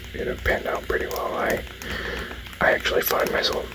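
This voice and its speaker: Someone whispers over noticeable background noise. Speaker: ASMR gaming channel host. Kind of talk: ASMR whispered gaming talk. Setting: indoor, close-mic recording. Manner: whispered, soft-spoken.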